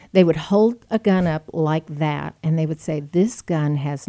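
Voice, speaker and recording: A woman's very deep, low voice with a Texan accent and a dark, mellow tone, fairly slow, dry and close with no echo, on a very clean recording with a silent background. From Texas (Friendswood, Houston area). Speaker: former state legislator and gun rights advocate. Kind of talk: interview. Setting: studio.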